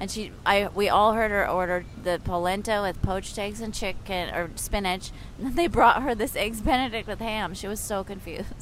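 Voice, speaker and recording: Amid audible room echo, a woman speaks at a moderate pace with hardly any pauses and ordinary pitch variation. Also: medium pitch for a woman. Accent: American. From California. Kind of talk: casual chat. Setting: outdoors, city park.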